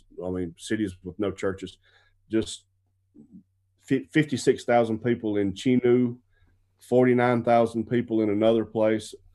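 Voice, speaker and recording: A man with a South Carolina accent talks at a moderate pace and medium pitch, his tone dark and mellow and his intonation fairly even, with long, frequent pauses. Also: quiet background. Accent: Southern US (South Carolina). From US South, upstate South Carolina. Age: 40s. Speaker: missionary. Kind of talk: interview.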